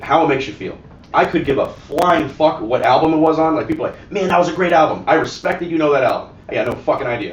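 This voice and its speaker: An animated man with an American accent, very fast and fairly high-pitched, with ordinary pitch variation, audible room echo and noticeable background noise. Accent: often taken for New York. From South Florida, Ohio mix. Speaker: gun shop and cigar bar owner. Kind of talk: casual chat.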